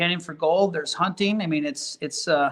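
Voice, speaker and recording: A man talks with an Upper Midwest accent at a fairly quick pace. His pitch sits high for a man, with ordinary variation. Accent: Upper Midwest (Minnesota). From Minnesota. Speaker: realtor and sunflower farm owner. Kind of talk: podcast interview.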